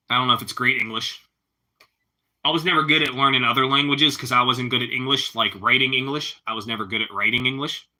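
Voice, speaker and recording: Talking at a very fast pace, a man with a Pittsburgh accent keeps a medium pitch and fairly even intonation. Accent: Pittsburghese. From Pittsburgh, Pennsylvania. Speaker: live streamer. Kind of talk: casual chat.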